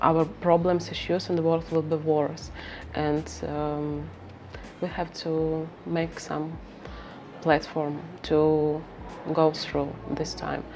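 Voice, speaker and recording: A woman with a Ukrainian accent at a very slow pace, with long, frequent pauses, audible room echo and music in the background. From Ukraine, Kharkiv. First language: Ukrainian or Russian. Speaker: researcher and interviewer. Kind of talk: interview. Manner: halting, many fillers.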